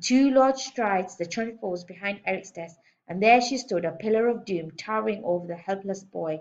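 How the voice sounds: A natural reading voice is heard. It reads through the clip.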